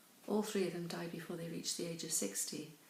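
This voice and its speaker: A woman with a British accent and medium pitch is heard with audible room echo. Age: 60s. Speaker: pension campaigner. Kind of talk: testimony. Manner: hesitant, many fillers.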